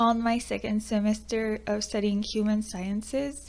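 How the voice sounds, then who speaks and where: The speaker has a Quebec accent. The pace is moderate. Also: woman. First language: French. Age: 20s. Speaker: YouTuber, student. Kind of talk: personal vlog talk.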